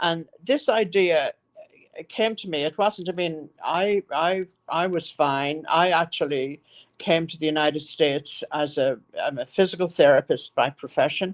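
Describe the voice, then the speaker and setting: Speaking in an Irish accent, a woman uses a fairly low pitch with ordinary variation at a fairly slow pace. The sound is dry and close, with no echo. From Ireland, County Monaghan. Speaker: nonprofit founder, former physical therapist. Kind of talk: interview. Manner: halting.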